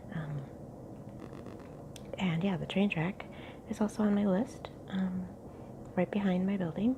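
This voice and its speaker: Amid noticeable background noise, a woman at medium pitch speaks fairly slowly with long, frequent pauses and ordinary pitch variation. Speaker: ASMR youtuber. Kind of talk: casual ramble to camera. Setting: home kitchen nook, tripod camera.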